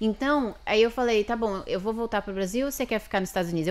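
A woman speaks at a fairly high pitch with ordinary pitch variation. Her pace is very fast. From São Paulo, Brazil (Barueri area); São Paulo, Brazil. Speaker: lawyer and immigrant; podcast guest. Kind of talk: interview. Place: studio. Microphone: studio mic.

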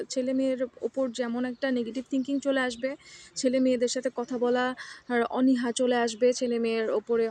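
A high-pitched woman with a Bangladeshi accent. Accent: Bangladeshi Bengali. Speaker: international student vlogger. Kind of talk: personal vlog monologue. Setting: outdoors in a campus garden. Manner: halting with pauses.

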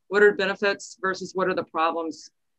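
A woman with an American accent talks fairly quickly at a medium pitch in an ordinary speaking voice, her intonation fairly even. The background is quiet. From Texas. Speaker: astrophotographer and workshop instructor. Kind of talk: online presentation. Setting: video call. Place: office. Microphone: video call.

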